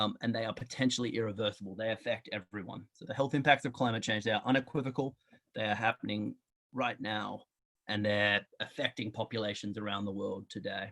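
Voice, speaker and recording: With an Australian accent, a man talks at a medium pitch with fairly even intonation. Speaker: public health researcher. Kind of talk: lecture.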